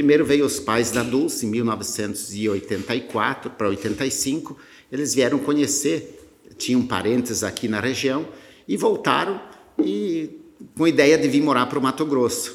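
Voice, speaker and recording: A plain, everyday voice from a man at medium pitch, ordinary pitch variation and a fairly slow pace. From Rio Grande do Sul, Brazil. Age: 50s. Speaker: agribusiness founder. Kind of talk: interview.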